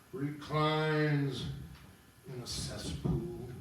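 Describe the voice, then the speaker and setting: A man's put-on character voice with slight echo. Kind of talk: dramatic monologue reading.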